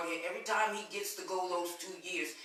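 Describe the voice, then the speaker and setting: A woman's medium-pitched voice comes through audible room echo and noticeable background noise. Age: 60s. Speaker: prison reform advocate. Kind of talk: interview on a live webcast.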